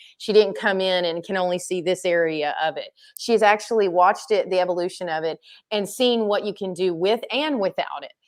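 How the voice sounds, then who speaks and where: In an ordinary speaking voice, a woman talks at a fairly quick pace and a medium pitch with ordinary pitch variation, over a quiet background. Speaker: charity runner and interviewer. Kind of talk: interview host talk. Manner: upbeat.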